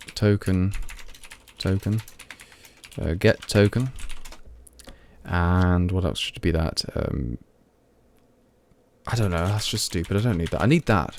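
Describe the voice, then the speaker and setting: Over noticeable background noise, a man with a Midlands accent talks fairly slowly at a very deep, low pitch, with ordinary pitch variation and long, frequent pauses. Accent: Midlands, mild. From English Midlands, Leicester. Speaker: programmer streamer. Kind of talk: live coding stream. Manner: halting, many fillers; speaking clearly.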